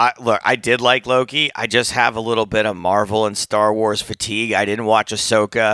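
In a very clean recording with a silent background and a dry, close sound with no echo, a man with a medium pitch talks at a moderate pace in an animated, bright, sharp tone, with hardly any pauses. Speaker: poker podcast co-host and comedian. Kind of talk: casual chat. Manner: animated, jokey.

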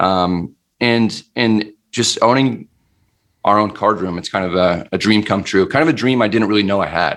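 At a moderate pace, a man talks in a normal speaking voice with ordinary pitch variation. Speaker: poker vlogger and club owner. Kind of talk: casual interview chat.

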